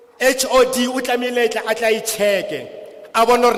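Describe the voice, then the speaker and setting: Against noticeable background noise, a man with an extremely high voice talks at a fairly quick pace in a Lesotho accent. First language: Sesotho. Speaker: school governing body representative. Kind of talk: public hearing testimony. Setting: public hearing with translator.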